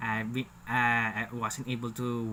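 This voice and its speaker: Speaking at a very slow pace, a man uses monotone, flat intonation at a medium pitch. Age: 30s. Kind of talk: casual talk to camera. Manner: jittery, hesitant.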